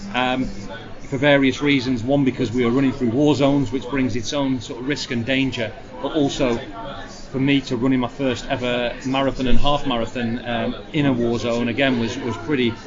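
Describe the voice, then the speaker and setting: With a Lancashire accent, a man talks at a medium pitch and a fairly quick pace, his intonation fairly even. Noticeable background noise and audible room echo fill the recording. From northern England, Blackpool, Lancashire. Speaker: adventurer and former soldier. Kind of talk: interview. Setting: noisy public venue.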